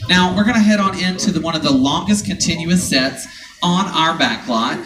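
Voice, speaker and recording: A man with a Southern US accent speaks at a high pitch with lively intonation and very even loudness. His pace is moderate, and noticeable background noise runs behind him. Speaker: studio tour guide. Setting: outdoors.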